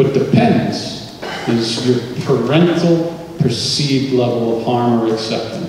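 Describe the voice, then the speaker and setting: A man speaks with ordinary pitch variation in a room with strong echo and light background noise. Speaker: presenter. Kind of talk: lecture. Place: hall.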